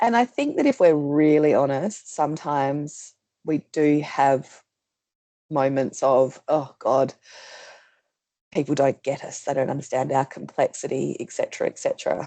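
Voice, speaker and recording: The sound is dry and close with no echo. A woman speaks in an Australian accent. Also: moderate pace. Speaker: policy presenter. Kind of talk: webinar presentation. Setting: video call. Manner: loud.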